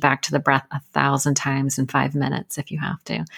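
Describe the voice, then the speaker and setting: A woman with an American accent talks at a fairly quick pace with vocal fry, recorded dry and close with no echo. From US. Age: 50s. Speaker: recovery coach and podcast host. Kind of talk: casual interview. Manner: animated.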